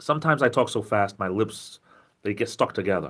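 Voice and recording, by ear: The speaker is a man with a southeastern New England accent. His tone is fairly bright.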